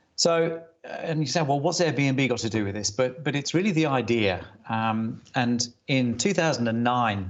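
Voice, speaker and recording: Here a man speaks with an English accent. His pace is moderate and his pitch varies in an ordinary way. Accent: English-sounding (sounds like a Brit). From Germany. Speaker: retail industry consultant. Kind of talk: conference presentation. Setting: video call from home study. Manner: hesitant, many fillers.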